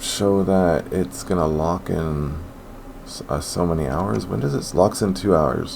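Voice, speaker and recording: A man speaks fairly slowly with lively intonation and a very deep, low pitch. Room echo is audible and background noise is noticeable. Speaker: sports betting youtuber. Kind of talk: casual monologue.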